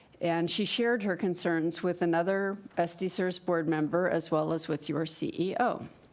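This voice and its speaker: A woman speaks at a moderate pace in a plain, everyday voice, fairly low in pitch. Her loudness stays very even and her intonation fairly even. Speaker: fiduciary training presenter. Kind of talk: training presentation.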